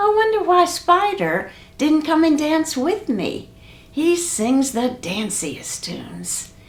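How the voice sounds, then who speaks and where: Using a put-on character voice, a woman speaks at a high pitch and fairly slow pace with very wide pitch swings. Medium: read story.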